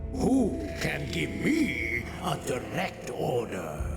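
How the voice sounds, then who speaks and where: A man talks in a put-on character voice at a very slow pace. Loud music plays behind him, and there is a clear echo. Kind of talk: solemn archaic speech. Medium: machinima. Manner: formal, grave.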